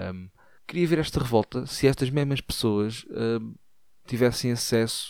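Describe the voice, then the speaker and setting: With a European Portuguese accent, a man talks at a fairly slow pace. His loudness swings widely. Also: medium pitch for a man, ordinary pitch variation. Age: 50s. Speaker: podcaster. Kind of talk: comedic monologue.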